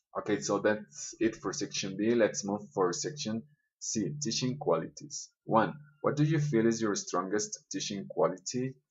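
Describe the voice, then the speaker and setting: With very wide pitch swings, a man speaks at medium pitch and a moderate pace. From Colombia. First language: Spanish. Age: 20s. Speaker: schoolteacher. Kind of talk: self-interview reading questions and answering. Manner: hesitant with fillers.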